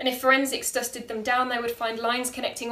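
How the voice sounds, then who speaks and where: Against noticeable background noise, a woman speaks in a high pitch with an intense tone, fairly even intonation and a fairly quick pace. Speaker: performance poet. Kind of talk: poem performed, spoken-word slam style with rhyme, delivered with dramatic emphasis. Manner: intense, emotive, rhythmic, pointed and vivid.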